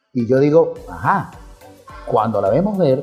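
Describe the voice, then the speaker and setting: Music plays behind a man whose voice sits fairly high in pitch. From Venezuela, Mérida. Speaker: radio announcer. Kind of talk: interview answer. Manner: spontaneous, humorous.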